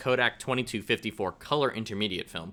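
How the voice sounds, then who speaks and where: A man's bright, sharp voice at a fairly quick pace over a quiet background. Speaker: film photographer. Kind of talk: casual talk to camera.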